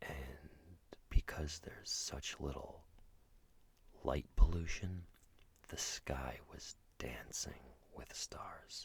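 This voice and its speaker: Whispering at a very slow pace, a man leaves long, frequent pauses while his loudness swings widely. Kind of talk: ASMR road trip narration. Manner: soft-spoken, whispered, relaxing.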